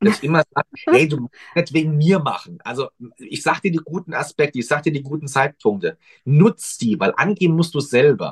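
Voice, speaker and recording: Here a man talks in a normal speaking voice, fairly high and with ordinary pitch variation. His fairly quick delivery sounds dry and close, with no echo. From Mannheim, Germany. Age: 30s. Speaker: astrologer. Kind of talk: casual chat. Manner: lively.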